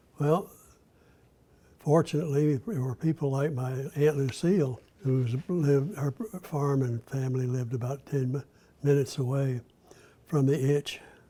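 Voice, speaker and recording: This man's dark, mellow voice is fairly high in pitch and somewhat breathy, with ordinary pitch variation. He keeps a moderate pace, broken by long, frequent pauses. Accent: Southern US. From US South, Florida (Gainesville). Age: 80s+. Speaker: former state legislator. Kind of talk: interview. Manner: halting.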